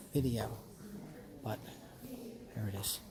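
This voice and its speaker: A man whispering at a moderate pace, with audible room echo and noticeable background noise. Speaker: content creator. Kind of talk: gallery walk-through vlog. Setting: museum gallery.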